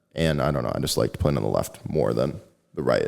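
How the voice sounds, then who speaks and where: A man with an American accent speaks with vocal fry. His tone is dark and mellow. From Chicago suburbs (Elmhurst, Illinois). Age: 20s. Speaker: mortgage lender. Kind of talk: casual interview chat. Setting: office podcast studio. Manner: halting, many fillers.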